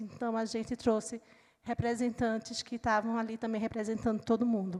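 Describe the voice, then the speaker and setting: A woman speaks with a Recife accent. Her pace is moderate. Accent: Recife (northeastern Brazilian). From Brazil, Recife (Pernambuco). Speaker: panel moderator, book organizer. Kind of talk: panel discussion moderation.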